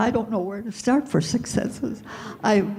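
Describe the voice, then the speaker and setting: A woman's dark, mellow, somewhat breathy voice carries ordinary pitch variation in a very clean recording with a silent background. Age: 80s+. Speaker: seminar participant. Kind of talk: testimony.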